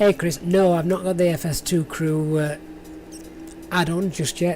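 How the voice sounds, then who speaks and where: With a strong northern English accent, a woman speaks at a fairly low pitch against noticeable background noise. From northern England, near Sheffield. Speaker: flight sim streamer. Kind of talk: live stream commentary. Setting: live stream. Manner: halting.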